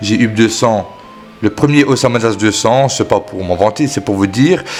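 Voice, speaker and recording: Music plays in the background as a man speaks at medium pitch with ordinary pitch variation. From Belgium. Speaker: gaming YouTuber. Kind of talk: gaming tutorial. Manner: hesitant, many fillers.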